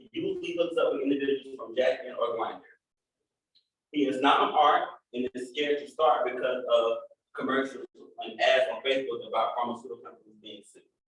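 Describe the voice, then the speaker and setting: A man speaks at a fairly quick pace with big swings in loudness. Audible room echo surrounds his voice. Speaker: HIV outreach worker. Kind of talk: conference workshop presentation. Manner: occasional stutter when passionate; animated.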